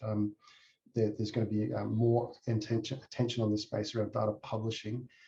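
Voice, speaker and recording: A man with an Australian accent, a dark, mellow, somewhat breathy tone and monotone, flat intonation at a very fast pace. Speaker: tech company executive. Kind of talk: conference presentation. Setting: presentation to a user group. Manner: halting, many fillers.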